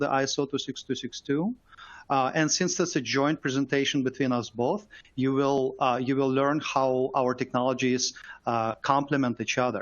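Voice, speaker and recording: A fairly high-pitched man with a Russian accent, at a moderate pace. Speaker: software company engineer. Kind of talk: webinar presentation.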